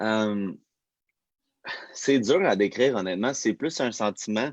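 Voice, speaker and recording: A man at medium pitch speaks at a fairly slow pace with ordinary pitch variation. The sound is dry and close with no echo, over a quiet background. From Quebec. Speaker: fitness personality. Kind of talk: casual interview. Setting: livestream.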